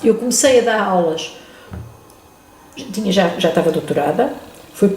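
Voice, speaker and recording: A woman speaks in a space with audible room echo. Noticeable background noise can be heard as well. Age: 70s. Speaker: retired chemistry professor, museum volunteer. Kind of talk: interview. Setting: museum.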